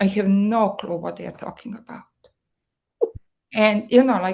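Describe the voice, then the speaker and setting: With a Serbian accent, a woman speaks in a somewhat breathy voice at a fairly high pitch with ordinary pitch variation. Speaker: marketing strategist. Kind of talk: guest talk. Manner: hesitant, many fillers.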